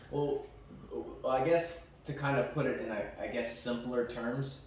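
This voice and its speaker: Amid noticeable background noise and audible room echo, a man with a medium pitch speaks at a fairly slow pace with fairly even intonation. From Mexican background. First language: Spanish. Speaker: podcast co-host. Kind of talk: casual chat.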